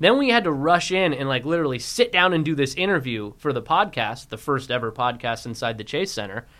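On a very clean recording with a silent background, a man with an American accent talks at a fairly quick pace with hardly any pauses, his fairly high pitch, bright, sharp tone and lively intonation standing out. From US West, San Francisco Bay Area. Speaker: sports podcast co-host. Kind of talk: casual sports chat. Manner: giggly, laughing.

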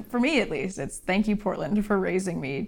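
Vocal fry colors the medium-pitched speech of a woman with an American accent. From rural Oregon. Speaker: illustrator. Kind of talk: interview.

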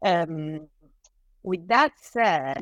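Very slowly and with ordinary pitch variation, a woman speaks in a dry, close sound with no echo. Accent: Italian. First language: Italian. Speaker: author and scholar. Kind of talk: interview. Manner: halting.

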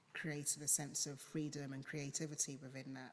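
Flat and monotone, a woman with a London accent speaks in a very deep, low pitch. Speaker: photographer. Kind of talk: casual chat.

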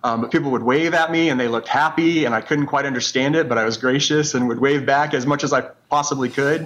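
This man talks at a very fast pace, his fairly high voice held to fairly even intonation. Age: 40s. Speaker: COVID survivor. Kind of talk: testimony.

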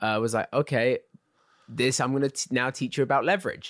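Recorded very cleanly against a silent background, with a dry, close sound and no echo, a man with an English accent speaks fairly quickly at a medium pitch with ordinary pitch variation. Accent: English, uses American accent for roles. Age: 20s. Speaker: actor. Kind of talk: casual chat.

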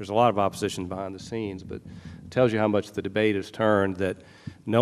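Here a man talks with monotone, flat intonation. His pitch sits fairly low. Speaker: psychiatrist. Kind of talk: panel discussion. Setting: stage with audience.

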